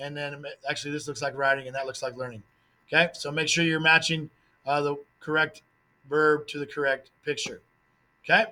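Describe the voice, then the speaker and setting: Fairly high-pitched with a bright, sharp tone, a man talks at a fairly quick pace with fairly even intonation and long, frequent pauses. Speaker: Spanish teacher. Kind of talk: test review tutorial. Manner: fast.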